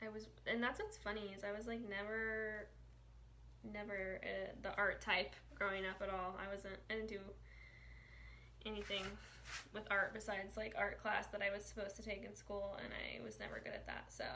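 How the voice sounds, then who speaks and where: With an American accent, a woman talks at a moderate pace, leaving long, frequent pauses, in a room with audible echo. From Indiana, US Midwest. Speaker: painting instructor and sign artist. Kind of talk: live-stream painting tutorial. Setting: live stream reading comments. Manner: casual, chatty; quiet.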